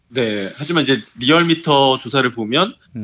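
A man talks in a plain, everyday voice. His pitch sits in the medium range and varies in an ordinary way. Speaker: newspaper reporter. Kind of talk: political news discussion.

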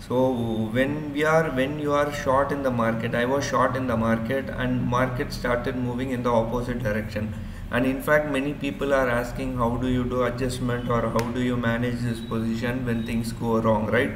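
A man's monotone, flat intonation over noticeable background noise. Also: moderate pace. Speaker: educator. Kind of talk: tutorial. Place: home room. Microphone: webcam.

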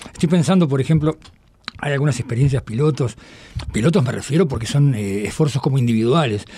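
A man rattles along at a very fast pace with ordinary pitch variation while noticeable background noise fills the clip. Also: medium pitch for a man. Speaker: radio host. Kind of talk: radio interview.

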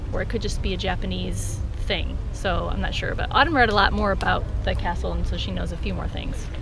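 Amid noticeable background noise, a woman talks at a fairly quick pace, the sound dry with no echo. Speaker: family travel vlogger. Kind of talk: casual vlog chat. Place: open country. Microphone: phone near.

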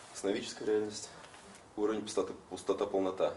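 A man speaks at a fairly quick pace. Light background noise and audible room echo come through. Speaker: trainer and colleague; trainer. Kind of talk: panel discussion. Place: classroom. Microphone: camera far.

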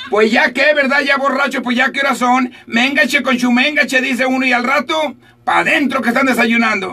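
A man uses a raised, projected voice at an extremely high pitch. His moderate pace has hardly any pauses, and his loudness stays very even. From Sinaloa, Mexico. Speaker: radio announcer. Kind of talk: morning radio show host talk. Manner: upbeat, joking. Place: booth. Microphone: studio mic.

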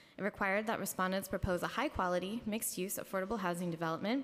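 A woman speaks at a very fast pace with ordinary pitch variation. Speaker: city housing agency official. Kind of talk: formal testimony at public hearing. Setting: council chambers hearing room. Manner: frequent fillers, somewhat halting. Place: hall. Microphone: podium.

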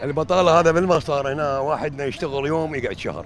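With an Iraqi accent, a man speaks fairly quickly in a fairly high voice with fairly even intonation, the sound dry with no echo and light background noise. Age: 60s. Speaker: day laborer; interviewee. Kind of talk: street interview. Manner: casual. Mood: complaining, frustrated. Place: street. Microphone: handheld.

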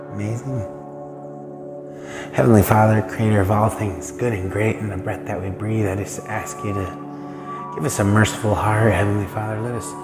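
Over clear music in the background, a man talks at a moderate pace with long, frequent pauses. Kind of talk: prayer. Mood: warm, earnest, prayerful. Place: street. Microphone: phone near.

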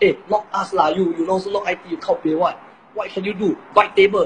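A man at a very fast pace and high pitch, with light background noise. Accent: Singaporean. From Singapore. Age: 20s. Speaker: polytechnic student. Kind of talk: roast battle banter. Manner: animated. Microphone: phone near.

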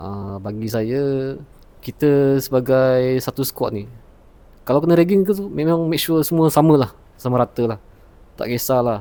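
A man with a medium pitch and a dark, mellow tone speaks at a moderate pace with lively intonation. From Sarawak, Malaysia. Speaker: retail assistant, former naval cadet. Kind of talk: testimony.

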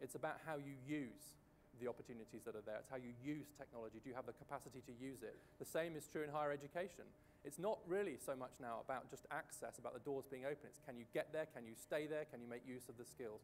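Over light background noise, a fairly high-pitched man with a British accent talks very fast with ordinary pitch variation. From Britain. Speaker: economic policy researcher. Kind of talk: panel discussion. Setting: stage with audience at a conference. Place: stage. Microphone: lapel.

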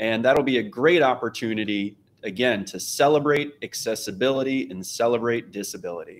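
In a normal speaking voice, a man talks at a fairly quick pace with hardly any pauses, his medium pitch showing ordinary variation and his loudness swinging widely. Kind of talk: panel discussion. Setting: video call.

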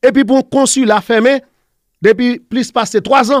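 Against a quiet background, a man talks with extremely high pitch and ordinary pitch variation. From Haiti. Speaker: professor. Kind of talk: interview. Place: studio. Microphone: studio mic.

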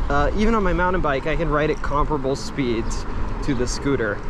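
A man speaks at a fairly quick pace in a dry sound with no echo, with noticeable background noise. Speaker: commuter vlogger. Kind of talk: casual vlog chat. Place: street. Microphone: phone near.

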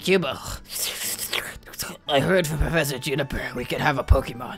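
Clear music plays in the background behind a put-on character voice. It sits at a low-to-middle pitch and moves at a fairly quick pace.

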